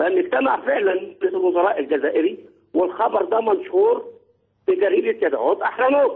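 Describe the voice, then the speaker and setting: A man speaks at a moderate pace, keeping his loudness very even. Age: 60s. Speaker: caller. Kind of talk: phone-in talk show call.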